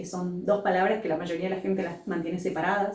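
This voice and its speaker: A woman with an Argentine accent at a medium pitch and a fairly quick pace, with audible room echo and noticeable background noise. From Argentina. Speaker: entrepreneur and business school director. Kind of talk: interview.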